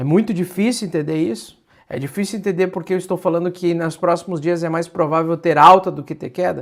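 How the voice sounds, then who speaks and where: On a very clean recording with a silent background, a man with a high pitch talks fairly quickly with hardly any pauses and fairly even intonation. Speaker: crypto market analyst. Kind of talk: livestream market analysis. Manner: exasperated, emphatic.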